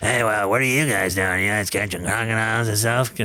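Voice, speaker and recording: Over clear background noise, a man puts on a raspy character voice at a medium pitch and a fairly quick pace. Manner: casual and friendly.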